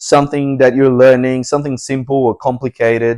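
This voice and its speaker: With a Portuguese accent, a man talks at a moderate pace in a medium pitch and a monotone, flat intonation. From Brazil. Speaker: English teacher. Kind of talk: classroom introduction. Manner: halting, with many repetitions.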